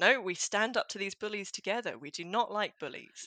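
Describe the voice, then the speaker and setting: Recorded dry and close with no echo over a quiet background, a woman with an English accent speaks in a bright, sharp tone. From rural England. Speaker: clinical psychologist. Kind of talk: interview.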